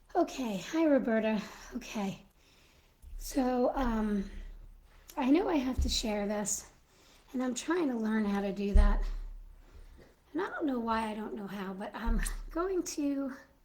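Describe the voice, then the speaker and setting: A high-pitched woman's voice at a fairly slow pace, with lively intonation, long, frequent pauses and audible room echo. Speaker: Mrs. Claus character livestreamer. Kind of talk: casual live stream chat. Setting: live stream.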